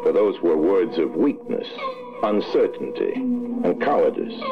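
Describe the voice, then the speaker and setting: Over background music, a man talks at a very slow pace. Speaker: narrator. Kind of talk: animated short film narration.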